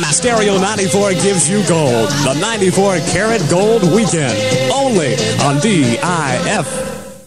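Over loud music in the background, the speech moves at a fairly slow pace. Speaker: radio announcer. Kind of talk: oldies weekend radio promo. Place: studio. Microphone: old recording.

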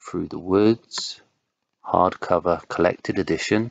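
A calm, soothing tone at a very slow pace. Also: man. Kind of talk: ASMR-style read of comic sales figures. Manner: calm, smooth, soothing.

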